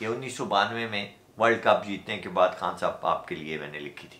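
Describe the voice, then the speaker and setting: Bright and sharp in tone, a man's voice carries vocal fry and lively intonation. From Pakistan. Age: 50s. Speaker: Urdu poet, radio broadcaster. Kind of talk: poetry reading.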